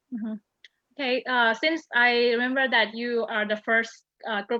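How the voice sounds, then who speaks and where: Someone with a Thai accent speaks at a moderate pace with ordinary pitch variation. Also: woman. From Thailand. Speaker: program committee moderator. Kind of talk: interview. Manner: halting.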